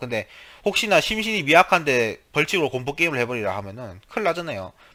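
A man with very wide pitch swings, vocal fry, a bright, sharp tone and a very fast pace. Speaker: gaming YouTuber. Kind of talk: casual vlog talk to viewers. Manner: halting, many fillers.

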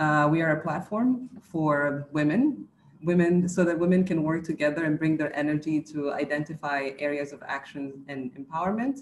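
There is light background noise behind the speech. The woman's pace is moderate. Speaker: organizer of women's network. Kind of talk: webinar welcome. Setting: video call. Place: office. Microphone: webcam.

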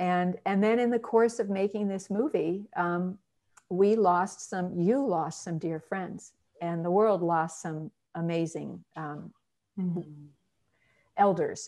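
A woman speaks at a very slow pace in a medium pitch, with ordinary pitch variation, a dark, mellow tone and a quiet background. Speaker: documentary filmmaker hosting the livestream. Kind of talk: casual chat. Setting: video call livestream. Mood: warm, reminiscing. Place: home room. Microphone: earbuds.

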